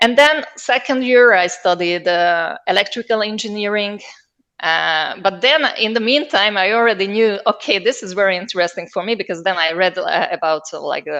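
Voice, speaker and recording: A woman with a Hungarian accent speaks at a medium pitch in a bright, sharp tone with lively intonation. Her pace is moderate and the background is quiet. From southern Slovakia, Hungarian-speaking minority near Hungarian border. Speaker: linguist, researcher. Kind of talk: interview. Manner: hesitant, many fillers.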